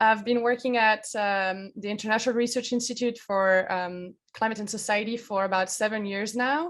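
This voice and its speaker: The recording is very clean, with a silent background. Speech comes at a moderate pace in a French accent, with fairly even intonation. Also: woman. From France. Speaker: climate researcher. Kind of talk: educational presentation.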